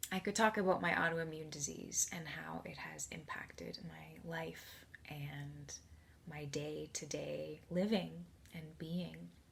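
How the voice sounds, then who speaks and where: Over noticeable background noise, a woman talks at a fairly slow pace, her loudness swinging widely. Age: 30s. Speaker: support group member sharing personal story. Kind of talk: testimony.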